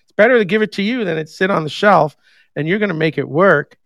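A man with an American accent talks at a very fast pace with ordinary pitch variation, in a dry, close sound with no echo on a very clean recording with a silent background. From New York. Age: 50s. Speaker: podcast host. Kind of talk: casual chat. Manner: animated.

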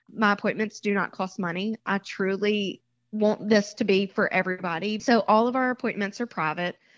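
In a Southern US accent, a woman speaks at a moderate pace and medium pitch with fairly even intonation, the sound dry and close with no echo against a quiet background. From Mississippi. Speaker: bridal shop owner. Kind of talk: interview.

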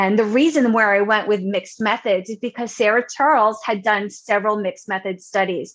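A woman with an American accent talks at a fairly quick pace, with hardly any pauses. Her intonation stays fairly even in an unremarkable speaking voice. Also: fairly high pitch for a woman, quiet background. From Long Island, New York. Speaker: education researcher and university administrator. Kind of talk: interview.

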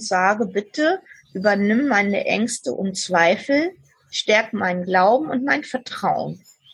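Very slowly and with lively intonation, a woman speaks in a somewhat breathy voice. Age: 60s. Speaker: podcast guest sharing life story. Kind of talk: interview. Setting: remote call from southern France.

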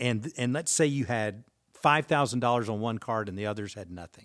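Speaking at a fairly quick pace, a man with a normal speaking voice and medium pitch uses ordinary pitch variation, in a dry, close sound with no echo on a very clean recording with a silent background. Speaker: pastor and author. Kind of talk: casual podcast conversation about finances.

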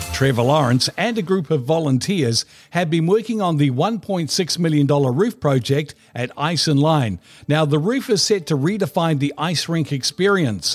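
Lively intonation in a New Zealand accent. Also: man, fairly high pitch for a man, moderate pace. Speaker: radio host. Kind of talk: podcast interview.

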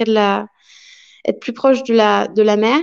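A woman with a plain, everyday voice speaks at a fairly high pitch with fairly even intonation. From France. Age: 20s. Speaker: young expatriate. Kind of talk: interview testimony.

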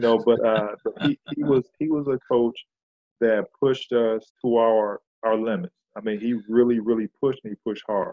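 With an American accent, a man speaks in a normal speaking voice at medium pitch, with fairly even intonation and a moderate pace. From Flint, Michigan. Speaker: retired professional basketball player. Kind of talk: interview.

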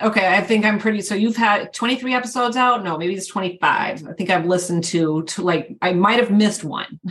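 A woman with a medium pitch speaks at a fairly quick pace with hardly any pauses and ordinary pitch variation, over noticeable background noise. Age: 50s. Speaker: podcast host, fitness coach. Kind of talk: casual chat.

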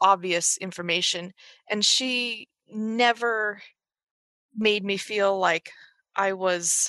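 A woman's medium-pitched, bright, sharp voice in a dry, close sound with no echo. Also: quiet background. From Los Angeles, California. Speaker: medical student. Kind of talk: interview. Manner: halting, many restarts and fillers.

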